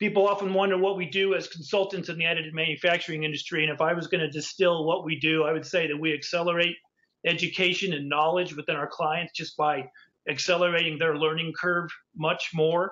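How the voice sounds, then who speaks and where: A man with a high pitch talks at a very fast pace in monotone, flat intonation. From New Mexico. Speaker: industry consultant; industry consultant giving guest lecture. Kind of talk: lecture. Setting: virtual lecture. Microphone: webcam.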